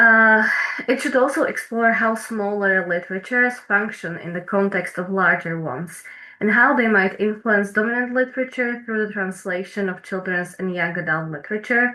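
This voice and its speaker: A woman with a Slovak accent speaks at a medium pitch and a moderate pace. Background noise is noticeable. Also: ordinary pitch variation. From eastern Slovakia, Prešov. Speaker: PhD researcher. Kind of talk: academic presentation. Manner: hesitant, many fillers.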